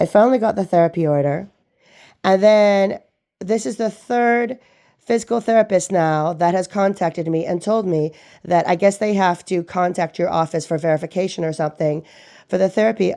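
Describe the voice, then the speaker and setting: A woman talks in a dark, mellow tone at a medium pitch. Her pace is moderate and her pitch varies in an ordinary way. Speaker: patient calling a clinic. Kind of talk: phone complaint. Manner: loud.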